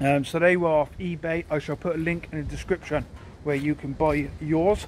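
There is light background noise behind a man. His intonation stays fairly even. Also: dry sound with no echo. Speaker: car owner vlogger. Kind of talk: casual vlog chat. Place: forest. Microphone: phone near.

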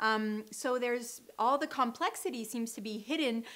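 The voice belongs to a woman. She talks at a high pitch. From Canada. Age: young. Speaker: wine blogger. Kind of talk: wine tasting talk to camera. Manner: energetic, frank; casual, hesitant. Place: studio.

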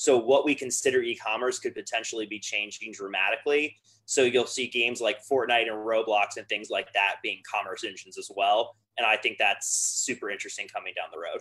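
A man with an American accent talks at a fairly quick pace, with hardly any pauses. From US South. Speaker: business development director; guest. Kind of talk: interview. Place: home room. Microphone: video call.

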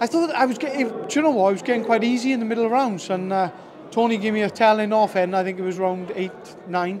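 Over noticeable background noise, a man talks at a very fast pace with a high pitch and ordinary pitch variation. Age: 30s. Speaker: boxer. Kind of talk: post-fight interview; interview answer. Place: hall. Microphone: handheld.

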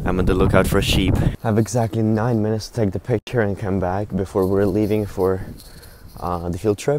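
A man with an unremarkable speaking voice and fairly low pitch talks at a fairly quick pace with fairly even intonation, in a dry sound with no echo and light background noise. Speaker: zoology student. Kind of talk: casual vlog talk to camera. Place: street. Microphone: earbuds.

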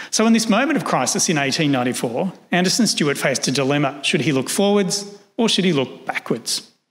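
A man with an Australian accent talks at a fairly quick pace with hardly any pauses, his high pitch making very wide swings while his loudness stays very even. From Australia, Sydney. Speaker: historian. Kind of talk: lecture; Q&A answers. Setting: stage with audience. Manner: formal. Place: hall. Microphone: podium.

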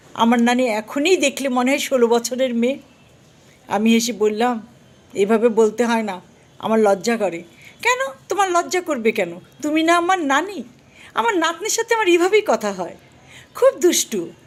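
A woman's high voice with very wide pitch swings, set against noticeable background noise. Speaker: vlogger. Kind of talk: personal storytelling.

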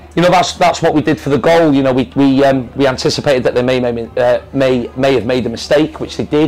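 A man speaks at a fairly quick pace and a medium pitch, with fairly even intonation. His tone is slightly mellow, and there is faint background noise.

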